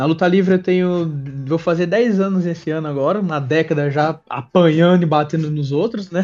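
Music plays behind a man speaking with a São Paulo accent. He has a fairly high pitch with ordinary variation and keeps a moderate pace. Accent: São Paulo Brazilian Portuguese. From Brazil, São Paulo ABC region (Ribeirão Pires). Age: 20s. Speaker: professional wrestler. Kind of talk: interview. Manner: casual with filler words.

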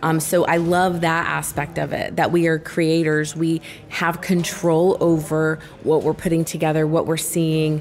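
A woman's fairly low voice in an American accent, monotone and flat, at a fairly slow pace with very even loudness, over noticeable background noise. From Texas. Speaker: former teacher, company team member. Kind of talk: casual chat.

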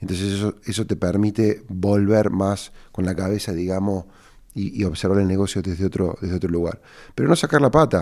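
Fairly quick delivery with ordinary pitch variation, in a very clean recording against a silent background. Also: man, fairly low pitch for a man. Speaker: entrepreneur and podcast host. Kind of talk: casual advice monologue answering listener questions. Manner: halting, with repeated words.

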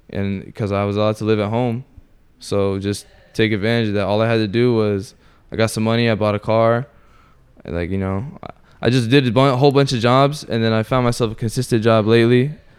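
Speaking fairly quickly with fairly even intonation, a man at a medium pitch has an ordinary speaking voice. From Orlando, Florida. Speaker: martial arts student and former inmate. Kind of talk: casual chat.

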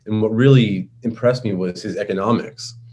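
A man with a New York accent speaks at a medium pitch. His tone is dark and mellow, and somewhat breathy. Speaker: libertarian activist. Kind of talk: podcast interview. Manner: casual, many fillers.

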